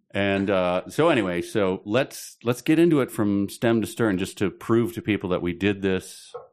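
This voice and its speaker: Against a quiet background, a man speaks in a Midwestern American accent. His pace is moderate, with hardly any pauses. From Chicago.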